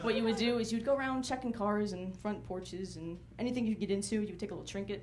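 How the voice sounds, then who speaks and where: A woman with an American accent and a medium pitch talks at a very fast pace, with audible room echo and noticeable background noise. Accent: slight, occasional Southern. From North Carolina, US South. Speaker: stand-up comedian. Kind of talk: stand-up.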